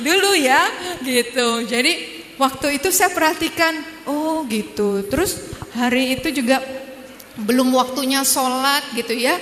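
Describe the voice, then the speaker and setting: Over noticeable background noise, a speaker with a Javanese accent talks at a fairly slow pace with lively intonation. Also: woman, high pitch for a woman. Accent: Javanese-accented Indonesian (medok). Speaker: dentist, convert sharing her story. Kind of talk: testimony talk to audience. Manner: casual, conversational.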